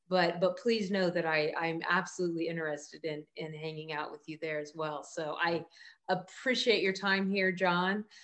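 A woman with a fairly low pitch talks at a moderate pace in an ordinary speaking voice. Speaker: podcast host and headshot photographer. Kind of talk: casual interview conversation.

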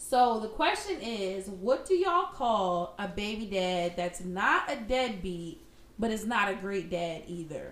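Noticeable background noise sits behind a woman speaking at a medium pitch. She talks fairly slowly with lively intonation. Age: 30s. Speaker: podcast co-host. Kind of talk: casual chat.

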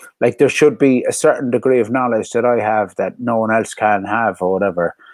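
A man with a Cork accent speaks at a medium pitch with fairly even intonation, the sound dry and close with no echo. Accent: Cork Irish. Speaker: DJ. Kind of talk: casual chat.

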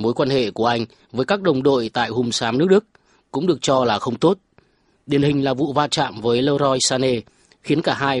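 Using a normal speaking voice, a man talks at a fairly quick pace with a medium pitch and ordinary pitch variation. The sound is dry and close, without echo. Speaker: sports news reporter. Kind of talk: news reading.

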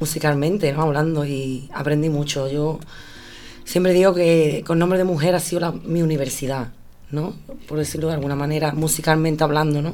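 The speaker talks fairly quickly in a flat monotone, with audible room echo and music playing behind. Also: woman, very deep, low pitch for a woman. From Andalusia, Spain. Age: 30s. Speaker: flamenco singer. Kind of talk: interview.

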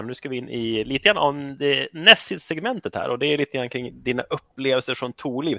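A man talks at a fairly quick pace in a medium pitch with ordinary pitch variation, an unremarkable speaking voice. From Sweden, Rättvik. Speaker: podcast host. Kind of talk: casual interview.

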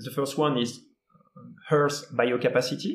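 A man speaks with a French accent at a moderate pace. His voice is somewhat breathy. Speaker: environmental speaker. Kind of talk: interview explanation. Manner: halting.

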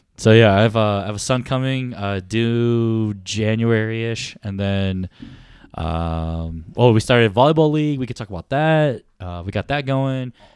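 A man's plain, everyday voice at medium pitch, moderate in pace, with ordinary pitch variation, big swings in loudness and a quiet background. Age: 30s. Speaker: podcast co-host. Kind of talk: casual chat.

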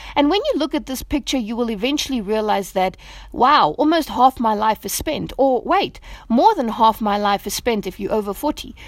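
A woman with a plain, everyday voice talks at a moderate pace, her fairly high pitch carrying lively intonation. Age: 30s. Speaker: devotional speaker. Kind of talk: devotional talk.

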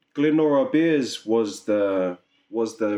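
A man's dark, mellow tone at a medium pitch, with fairly even intonation over a quiet background. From New Zealand, Auckland. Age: 30s. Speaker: musician and business owner. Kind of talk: casual chat.

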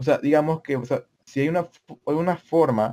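Dark, mellow tone from a man, with ordinary pitch variation and a dry, close sound with no echo. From El Salvador. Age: 19. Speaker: podcast co-host. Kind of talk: casual chat.

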